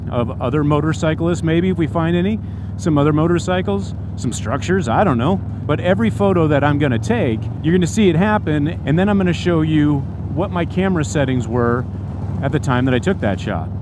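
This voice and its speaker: The sound is dry with no echo as a man talks at a fairly quick pace over noticeable background noise. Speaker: motorcycle vlogger. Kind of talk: casual vlog chat. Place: street.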